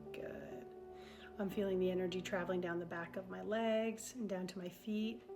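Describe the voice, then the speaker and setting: A woman's gentle, calm, medium-pitched voice with ordinary pitch variation, music in the background. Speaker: EFT tapping guide. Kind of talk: guided tapping session. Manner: slow.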